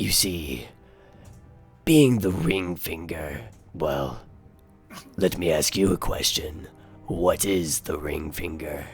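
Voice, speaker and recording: Using a put-on character voice, a man speaks raspy and very deep at a very slow pace, with long, frequent pauses. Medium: actual play. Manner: formal, pompous, slightly foreign phrasing.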